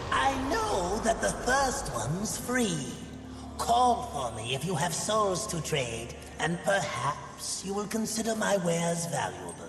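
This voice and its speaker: A cartoonish character voice at a fairly slow pace, with clear echo and loud background noise. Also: man, high pitch for a man. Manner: smooth, theatrical, wheedling.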